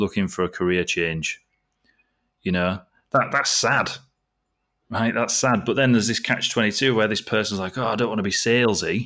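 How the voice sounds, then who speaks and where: A man with a Yorkshire accent and a bright, sharp tone talks at a moderate pace and fairly low pitch, with ordinary pitch variation and long, frequent pauses, in a very clean recording over a silent background. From East Yorkshire, England. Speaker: sales coach. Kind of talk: casual chat.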